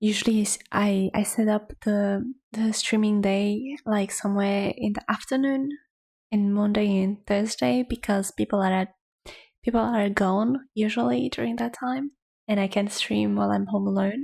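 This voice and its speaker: This soft-spoken woman has a somewhat breathy voice, ordinary pitch variation and very even loudness. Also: medium pitch for a woman, moderate pace. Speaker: artist streamer. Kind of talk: casual chat. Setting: home livestream. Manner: quiet, hushed; ASMR-like soft.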